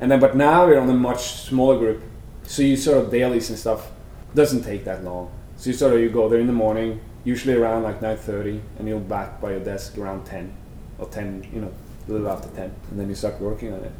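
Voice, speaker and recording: In a room with audible echo, a man with a Norwegian accent talks at a fairly quick pace in a dark, mellow tone of medium pitch, with ordinary pitch variation and big swings in loudness. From Norway (Sandefjord). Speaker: animator. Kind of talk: interview. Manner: halting, many fillers.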